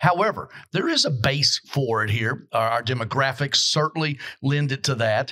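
A man with a fairly high pitch and a bright, sharp tone, ordinary pitch variation, a moderate pace and very even loudness. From Kentucky. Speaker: podcast host. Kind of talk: casual chat. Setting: hotel venue.

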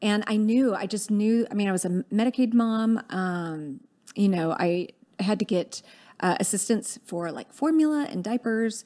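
In a very clean recording with a silent background, a woman with an American accent and a fairly high pitch uses a normal speaking voice at a moderate pace with ordinary pitch variation. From US South, Dallas, Texas. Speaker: political organizer. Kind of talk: interview.

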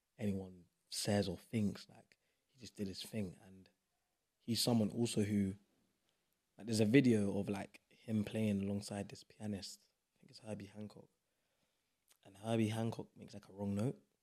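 With a London accent, a man talks at a fairly low pitch, leaving long, frequent pauses and making big swings in loudness. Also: moderate pace. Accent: London, multicultural London English. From South East London. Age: 20s. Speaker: actor and spoken word artist. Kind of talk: casual chat. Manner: animated, passionate.

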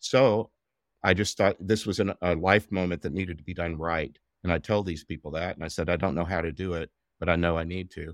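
Speaking at a fairly quick pace, a man with a very deep, low pitch keeps his intonation fairly even, recorded very cleanly with a silent background and a dry, close sound with no echo. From Southeast Texas. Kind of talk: interview conversation, reflective storytelling.

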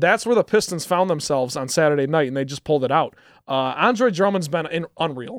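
In a very clean recording with a silent background and a dry, close sound with no echo, a man with an unremarkable speaking voice talks at a fairly quick pace, fairly high in pitch and with lively intonation. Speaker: college radio sports co-host. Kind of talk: casual sports talk. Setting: radio studio.

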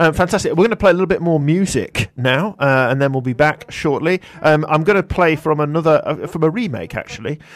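A normal speaking voice moves at a fairly quick pace with hardly any pauses. Its pitch varies in an ordinary way. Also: man, fairly high pitch for a man. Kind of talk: live radio presenter patter, bantering. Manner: bright, quick, jokey, chatty, with stumbles and overlapping interjections.

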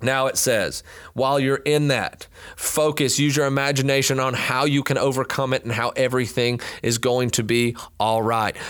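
Speaking at a moderate pace, a man with a medium pitch has an animated tone and very even loudness. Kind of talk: pep talk. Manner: animated, encouraging, coaching-style; urgent, second-person commands, building to a crowd-roaring climax.

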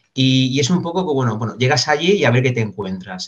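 A somewhat breathy male voice at a moderate pace. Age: 40s. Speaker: business consultant and trainer. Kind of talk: interview.

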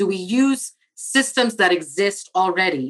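A woman with a Spanish accent, medium pitch and lively intonation. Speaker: architect and diversity director. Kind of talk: interview.

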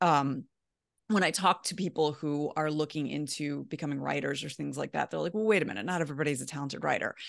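With an American accent, a woman talks at a very fast pace in a very deep, low pitch with vocal fry and ordinary pitch variation, against a quiet background. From US, Baltimore. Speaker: personal finance writer. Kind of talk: interview.

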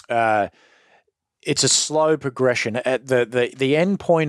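With an Australian accent, a man talks at a moderate pace with ordinary pitch variation, his sound dry and close with no echo on a very clean recording with a silent background. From Australia, western Sydney. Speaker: former gang member. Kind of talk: interview testimony. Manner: halting, repeats words.

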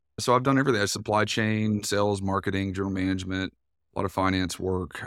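A man with a fairly low voice and an East Tennessee accent talks at a very fast pace on a very clean recording with a silent background. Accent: Southern US, East Tennessee. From US South, East Tennessee. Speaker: business co-founder, entrepreneur. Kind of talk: casual interview.

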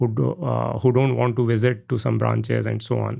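The speaker has an Indian accent. The pace is fairly quick. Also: man. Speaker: tech company CEO. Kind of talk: interview. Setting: studio. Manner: hesitant, many fillers.

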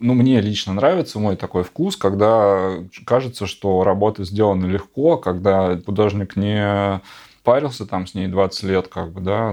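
A man's fairly low, dark and mellow voice with ordinary pitch variation against a quiet background. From Siberia (Novosibirsk). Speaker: artist. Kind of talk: casual chat.

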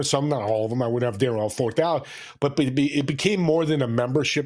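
Over a silent background on a very clean recording, a man with an ordinary speaking voice talks in a fairly high pitch with lively intonation. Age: 60s. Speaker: business owner and podcast host. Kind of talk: casual interview.

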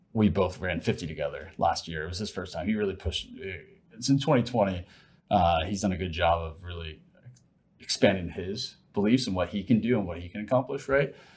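Somewhat breathy and fairly low-pitched, a man talks at a fairly quick pace. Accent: American. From Ohio. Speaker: sales executive and ultra-runner. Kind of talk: interview conversation.

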